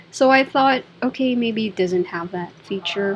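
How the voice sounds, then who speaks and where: Woman with a fairly high pitch against noticeable background noise. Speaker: designer reviewing software. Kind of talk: screen-recorded software review. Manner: halting, thinking aloud.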